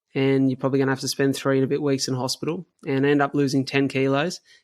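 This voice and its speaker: The delivery is monotone and flat, rattled off at a very fast pace. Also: man. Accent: Australian. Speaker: cystic fibrosis patient and endurance runner. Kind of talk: interview conversation.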